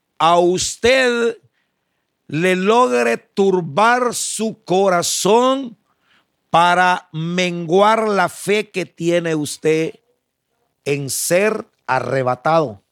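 Over a silent background in a very clean recording, a man speaks at a very slow pace with long, frequent pauses. His high pitch swings very widely. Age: old. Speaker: pastor. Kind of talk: sermon. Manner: halting.

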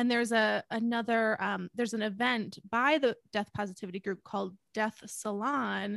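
A woman with an ordinary speaking voice talks at medium pitch with ordinary pitch variation, in a dry, close sound with no echo. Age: 30s. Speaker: podcast co-host. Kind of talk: casual conversation.

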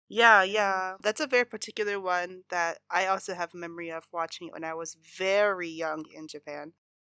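This woman's medium-pitched voice has a bright, sharp tone and ordinary pitch variation, moving at a moderate pace with hardly any pauses and big swings in loudness. The sound is dry and close with no echo, in a very clean recording with a silent background. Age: 30s. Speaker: podcast host. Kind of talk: casual chat.

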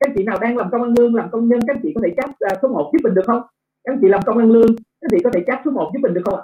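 A man speaks at an extremely high pitch. His pace is very fast. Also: ordinary pitch variation. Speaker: business trainer. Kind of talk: business training webinar. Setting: online video webinar with slides.

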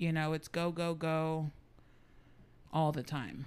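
This woman speaks at a very slow pace in an American accent. Her pitch sits fairly low. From San Antonio, Texas. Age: 30s. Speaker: guest sharing life story. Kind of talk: casual interview.

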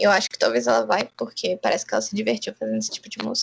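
The woman's voice comes through dry and close, with no echo. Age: 20s. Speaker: podcast co-host. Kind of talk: casual chat.

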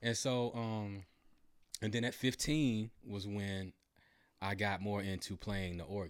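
On a very clean recording with a silent background, a man with an American accent speaks at a fairly low pitch and a fairly slow pace, with ordinary pitch variation and long, frequent pauses. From Georgia, US South (Acworth, rural). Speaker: keyboard player and band member. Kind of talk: casual interview chat.

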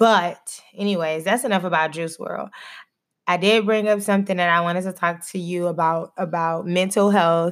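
A normal speaking voice from a woman with an American accent, fairly low in pitch, at a moderate pace with fairly even intonation, on a very clean recording with a silent background. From Texas. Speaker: podcast host, doctoral student and schoolteacher. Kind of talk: casual chat.

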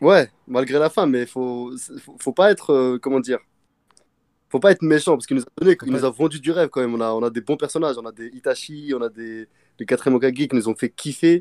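A man talks in a normal speaking voice at a medium pitch. His pitch varies in an ordinary way. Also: fairly quick pace, dry, close sound with no echo. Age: 20s. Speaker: machinist, manga fan guest. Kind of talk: casual chat.

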